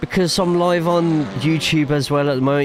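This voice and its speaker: A man with an English accent at a moderate pace, fairly even in intonation, over noticeable background noise. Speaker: sim racing streamer and commentator. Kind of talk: live stream chat with commentary. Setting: live stream. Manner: casual, chatty.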